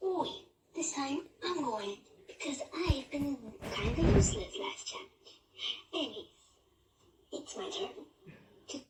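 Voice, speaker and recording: This cartoonish character voice is high-pitched and moves at a fairly slow pace, broken by long, frequent pauses. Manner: excitable.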